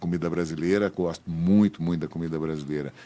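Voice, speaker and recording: A man's voice shows ordinary pitch variation, captured in a very clean recording against a silent background. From Brasília area, Brazil (born in Aleppo, Syria). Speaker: businessman and former politician. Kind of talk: interview.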